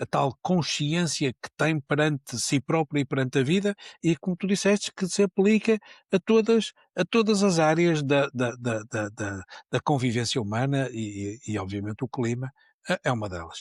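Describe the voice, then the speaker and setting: A man speaks at a fairly high pitch with very wide pitch swings. The recording is very clean, silent in the background, and dry and close with no echo. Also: moderate pace. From Porto, northern Portugal. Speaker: neuroscience professor. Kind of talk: podcast interview. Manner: many repetitions and fillers; animated.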